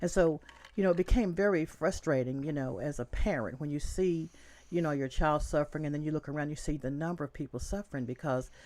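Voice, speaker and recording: Speaking very fast with an American accent, a woman uses a very deep, low pitch, a dark, mellow tone and ordinary pitch variation. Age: 60s. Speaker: county commission candidate. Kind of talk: interview.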